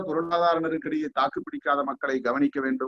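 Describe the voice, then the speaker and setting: This man has a high voice. His pitch varies in an ordinary way. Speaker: guest speaker. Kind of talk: formal speech. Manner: formal.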